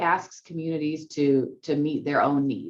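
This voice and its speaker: A woman speaks at a fairly low pitch. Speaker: state housing agency director. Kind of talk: webinar presentation. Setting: video call webinar. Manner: fast.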